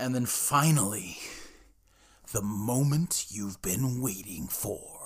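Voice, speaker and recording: Using a put-on character voice, a man speaks at a fairly slow pace with lively intonation and medium pitch. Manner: dramatic.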